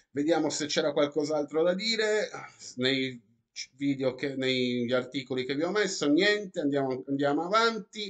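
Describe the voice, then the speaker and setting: A man talks at a moderate pace with lively intonation and a fairly high pitch. The background is quiet. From Italy. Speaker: YouTuber. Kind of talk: vlog commentary reading news articles. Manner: animated.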